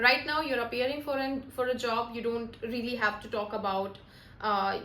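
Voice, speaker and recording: Amid audible room echo, a woman speaks at a moderate pace in a fairly high pitch with fairly even intonation. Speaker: soft skills trainer. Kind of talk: tutorial. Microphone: broken mic, some noise.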